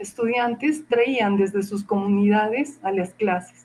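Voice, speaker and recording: A woman speaks with an Andean accent. Her pace is very slow. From Peru, Cusco Andes (Acomayo). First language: Quechua (speaking Spanish). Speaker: university professor and researcher. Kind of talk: interview. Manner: hesitant, many fillers.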